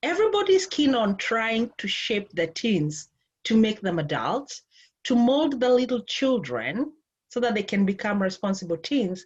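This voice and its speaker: A woman with a Kenyan accent speaks at a moderate pace and a fairly high pitch. Her voice is somewhat breathy, with very wide pitch swings. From Kenya, Nairobi. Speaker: life and relationship coach. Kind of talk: interview conversation.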